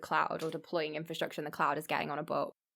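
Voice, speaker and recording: A woman speaks in an English accent with a bright, sharp tone. The recording is very clean, with a silent background. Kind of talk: casual chat.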